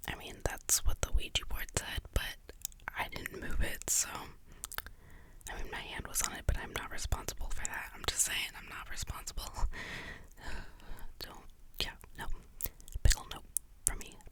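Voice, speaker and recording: Whispering in a relaxed tone, a woman leaves long, frequent pauses, her loudness swinging widely over noticeable background noise. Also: moderate pace. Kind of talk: ASMR whispered storytelling about paranormal experiences, casual rambling. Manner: whispered, clicky, relaxed, rambling.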